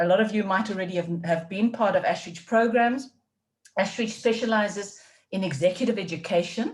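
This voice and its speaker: A woman with a South African accent sounds somewhat breathy. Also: medium pitch for a woman, ordinary pitch variation, fairly quick pace. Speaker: leadership development faculty, webinar host. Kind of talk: webinar presentation.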